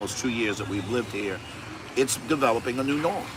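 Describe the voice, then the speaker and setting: Music plays in the background. A man speaks at medium pitch with ordinary pitch variation. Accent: American. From US Northeast. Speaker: podcast co-host. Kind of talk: casual chat. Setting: live stream.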